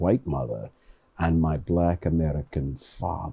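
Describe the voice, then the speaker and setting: A man's dark, mellow tone with a British accent. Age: 70s. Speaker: professor and community advocate. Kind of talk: studio interview. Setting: studio.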